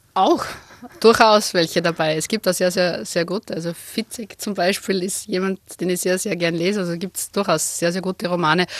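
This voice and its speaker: Noticeable background noise sits behind a woman whose fairly even intonation comes through in a dry, close recording with no echo. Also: medium pitch for a woman, moderate pace. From Lower Austria, Wachau (Krems). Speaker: senior police officer. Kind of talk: radio interview.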